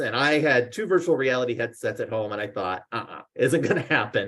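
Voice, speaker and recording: A man rattles along at a very fast pace in a somewhat breathy voice. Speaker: marketing researcher. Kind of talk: presentation.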